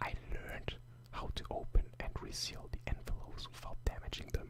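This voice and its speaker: Someone whispers at a moderate pace. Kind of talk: whispered ASMR story reading.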